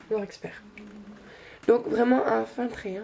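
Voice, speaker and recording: A woman's very slow delivery. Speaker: beauty youtuber. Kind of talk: makeup tutorial. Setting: bedroom. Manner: halting, many hesitations.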